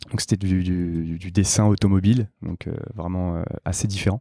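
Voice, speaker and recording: A man with a very deep, low pitch and a dark, mellow tone speaks at a moderate pace with fairly even intonation. The sound is dry and close with no echo, on a very clean recording with a silent background. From Paris, France. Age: 20s. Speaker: product team lead at a startup. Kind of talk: podcast interview. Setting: company office.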